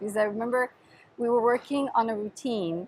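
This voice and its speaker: Here a woman talks very fast. She has an Italian accent. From Sicily, southern Italy. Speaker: podcast host and dance teacher. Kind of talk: reverse interview, casual chat.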